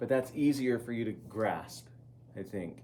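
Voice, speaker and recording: Audible room echo surrounds a dark, mellow voice speaking at a moderate pace. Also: man. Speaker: ceramics teacher. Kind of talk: classroom demonstration.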